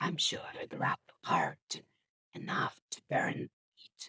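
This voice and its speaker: The voice whispers at a very slow pace. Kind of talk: ASMR whispered book reading. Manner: whispered.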